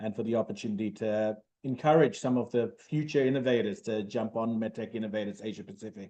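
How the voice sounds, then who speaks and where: Very fast speech in an Australian accent carries a dark, mellow tone and ordinary pitch variation. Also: man. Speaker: medtech startup founder. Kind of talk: interview.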